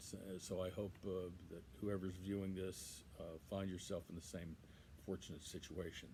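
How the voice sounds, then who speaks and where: A man with a very deep, low voice, somewhat breathy, with a dark, mellow tone. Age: 60s. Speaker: son giving a eulogy. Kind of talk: eulogy. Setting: outdoors on a patio. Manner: halting, many fillers.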